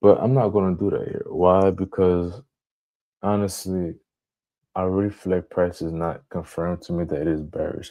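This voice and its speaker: A man speaks with a very deep, low pitch and a dark, mellow tone. His intonation stays fairly even against a quiet background. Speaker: trading streamer. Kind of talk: live trading tutorial. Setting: live stream with screen share. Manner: halting, self-correcting; talking a bit louder.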